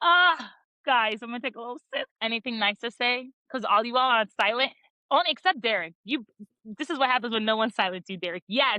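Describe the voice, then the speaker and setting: A woman's lively intonation at a fairly quick pace. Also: fairly high pitch for a woman. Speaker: podcast host. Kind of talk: casual chat. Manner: fast.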